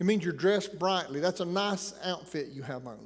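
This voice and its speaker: Speaking at a fairly quick pace, a man with a slight Appalachian accent uses a high pitch and ordinary pitch variation, with audible room echo. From Appalachian Tennessee. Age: 60s. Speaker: preacher. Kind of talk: sermon.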